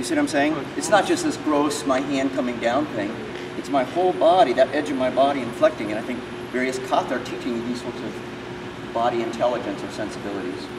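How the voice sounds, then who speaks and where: A man talks at a fairly quick pace amid noticeable background noise. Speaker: martial arts instructor. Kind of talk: teaching explanation during a seminar. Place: hall. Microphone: camera far.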